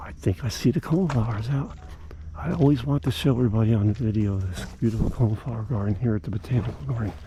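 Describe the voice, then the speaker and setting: Somewhat breathy with a dark, mellow tone, a man speaks at a very fast pace and medium pitch with lively intonation. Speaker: gardening vlogger. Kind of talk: walking tour vlog. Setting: outdoors. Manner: animated; hushed.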